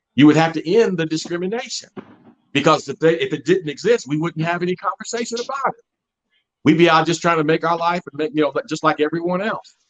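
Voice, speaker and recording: A man with an American accent, high in pitch, fairly quick pace, ordinary pitch variation, dry and close with no echo. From US South, Mississippi. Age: 60s. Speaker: interview guest, father. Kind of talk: interview conversation. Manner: animated.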